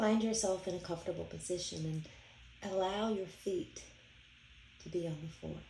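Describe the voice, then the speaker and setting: A woman at medium pitch speaks in a dark, mellow tone with vocal fry and fairly even intonation, leaving long, frequent pauses. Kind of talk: guided meditation. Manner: slow, soothing and calm, with gentle repetition; soft-spoken and unhurried, with long pauses.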